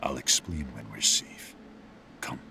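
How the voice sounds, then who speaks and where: A man growls in a put-on character voice over clear background noise. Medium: solo performance. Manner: gruff, commanding.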